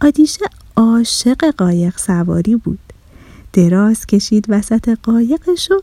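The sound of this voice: Someone reads in an unforced reading voice. The intonation is lively.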